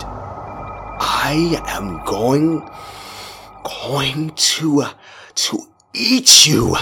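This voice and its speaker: A hissing, put-on character voice speaks at a very slow pace with long, frequent pauses. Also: man, fairly high pitch for a man. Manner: hissing, threatening.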